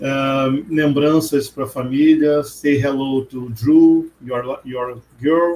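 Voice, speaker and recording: Speaking at a very slow pace, a man with a Portuguese accent keeps his intonation fairly even. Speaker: podcast host. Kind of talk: casual interview.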